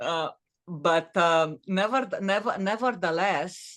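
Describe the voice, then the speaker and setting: The speaker talks at a very slow pace. The intonation is lively, over a quiet background. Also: woman. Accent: Romanian. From Romania. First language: Romanian. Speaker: author and former corporate executive. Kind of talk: podcast interview. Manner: halting, many fillers and restarts.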